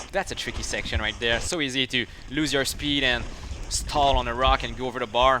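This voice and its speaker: A man speaks at a fairly quick pace in a French Canadian accent. Noticeable background noise runs underneath. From Quebec. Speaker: mountain biker and YouTuber. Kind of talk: live stream commentary. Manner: animated.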